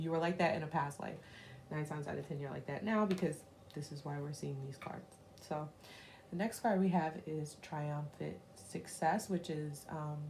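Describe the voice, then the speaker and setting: A woman speaks with a very deep, low pitch and ordinary pitch variation at a moderate pace. Audible room echo and noticeable background noise surround her. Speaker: tarot reader. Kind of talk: tarot reading to camera. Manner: casual, many fillers; whispering.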